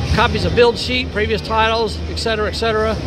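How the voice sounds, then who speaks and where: Clear music can be heard behind the voice. A man delivers his words at a moderate pace. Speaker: car show visitor vlogger. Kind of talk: casual vlog commentary. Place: hall. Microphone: phone near.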